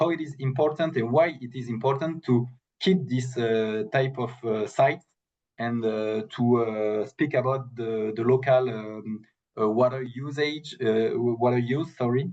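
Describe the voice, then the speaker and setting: Using a French accent, a man talks at a fairly slow pace. His pitch is medium with ordinary variation. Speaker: protected area specialist. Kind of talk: webinar Q&A answer. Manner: halting, many fillers and repetitions.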